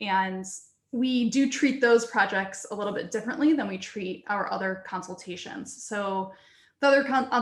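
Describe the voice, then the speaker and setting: A woman's somewhat breathy voice at medium pitch, with ordinary pitch variation, a moderate pace and audible room echo. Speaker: research computing data services staff. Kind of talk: conference presentation. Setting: video call.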